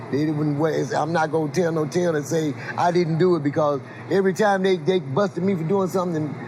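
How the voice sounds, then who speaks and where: A man with an American accent talks very fast at a fairly high pitch. His pitch varies in an ordinary way, and there is noticeable background noise. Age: 60s. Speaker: blues musician. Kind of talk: interview. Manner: halting, repeats words.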